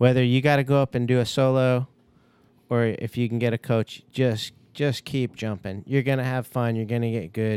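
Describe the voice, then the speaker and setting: A man talks at a medium pitch with fairly even intonation. His is an unremarkable speaking voice. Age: 40s. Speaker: skydiving instructor. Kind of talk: casual chat. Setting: studio.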